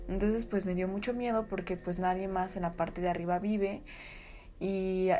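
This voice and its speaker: Here is a woman with a plain, everyday voice. She talks fairly quickly at a medium pitch. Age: 20s. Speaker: podcaster. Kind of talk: casual storytelling.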